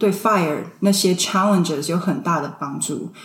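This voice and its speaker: At a fairly quick pace, the speaker shows ordinary pitch variation amid audible room echo. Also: woman. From Taiwan (Tainan), moved to US at 16. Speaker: early retiree sharing personal finance experience. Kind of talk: casual interview.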